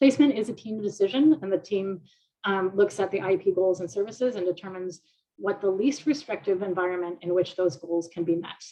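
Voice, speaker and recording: A woman's dark, mellow tone at a medium pitch, delivered at a fairly quick pace. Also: ordinary pitch variation. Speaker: IEP trainer. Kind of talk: online training presentation. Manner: fast.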